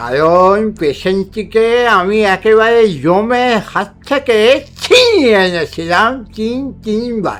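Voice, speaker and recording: Put-on character voice, fairly high and very slow, with clear music in the background. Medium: read story. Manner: genial, avuncular.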